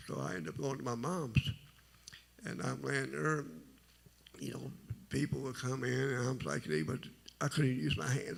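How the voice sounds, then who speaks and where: Quietly, a man talks at a moderate pace with vocal fry. His pitch swings very wide. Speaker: testimony speaker. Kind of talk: testimony. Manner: low, quiet.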